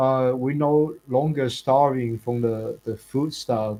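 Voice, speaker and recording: A man speaks with a Chinese accent. His intonation is fairly even. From China. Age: 20s. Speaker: content creator. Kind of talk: casual interview chat. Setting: live stream. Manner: casual, filler-heavy.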